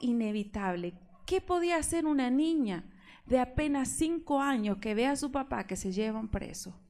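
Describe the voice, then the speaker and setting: Using a dark, mellow tone, a woman speaks at a fairly slow pace with fairly high pitch and lively intonation. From Argentina. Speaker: preacher. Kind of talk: sermon.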